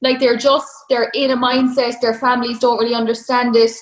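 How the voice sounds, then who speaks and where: A woman with an Irish accent talks at a fairly high pitch. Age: 30s. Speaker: online fitness coach. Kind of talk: casual interview chat.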